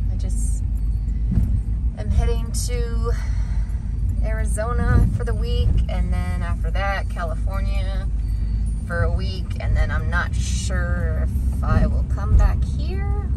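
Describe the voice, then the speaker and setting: A dry sound with no echo, a very slow pace and long, frequent pauses over music in the background. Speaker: solo van-life vlogger. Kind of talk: casual vlog chat. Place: car. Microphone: phone near.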